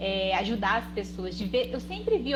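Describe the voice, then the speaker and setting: A soft-spoken woman talks at a fairly quick pace. Audible room echo and noticeable background noise surround her voice. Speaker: guest on a live stream about personal finance. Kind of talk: casual chat, personal introduction on a live stream. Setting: live video stream.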